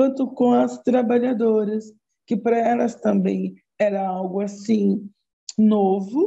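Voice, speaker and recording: Her voice is fairly high-pitched and somewhat breathy, with a dark, mellow tone. This woman speaks very slowly with lively intonation. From Brazil, Osasco, São Paulo. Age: 60s. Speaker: psychologist. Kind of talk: interview.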